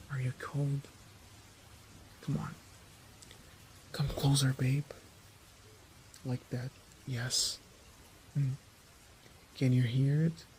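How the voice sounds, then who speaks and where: A man's fairly high-pitched voice in a flat monotone, at a very slow pace with long, frequent pauses, against noticeable background noise. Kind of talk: ASMR fanfiction storytelling, intimate romantic monologue. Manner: soft, intimate, comforting.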